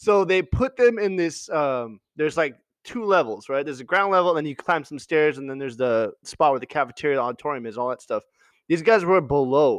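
Against a quiet background, a man with a plain, everyday voice speaks at a fairly quick pace in a fairly high pitch with lively intonation. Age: 30s. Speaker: podcast host and boxer. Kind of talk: casual chat. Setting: video call.

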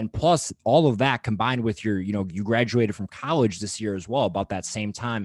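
In a plain, everyday voice with an American accent, a man talks at a fairly quick pace with hardly any pauses, fairly low pitch, and ordinary pitch variation, in a dry, close sound with no echo. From Wisconsin. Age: 20s. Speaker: podcast host. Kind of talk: casual interview chat.

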